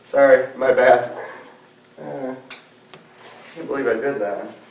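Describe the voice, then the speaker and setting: A man at a fairly slow pace, with long, frequent pauses, big swings in loudness, audible room echo and noticeable background noise. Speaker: guitar reviewer. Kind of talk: product review demo. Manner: casual, hesitant with fillers.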